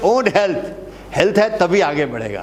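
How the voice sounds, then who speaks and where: Lively intonation comes from a man with an Indian accent and a high pitch. Noticeable background noise and audible room echo fill the recording. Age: 70s. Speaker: teacher, retired naval officer. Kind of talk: lecture. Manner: repetitive, emphatic.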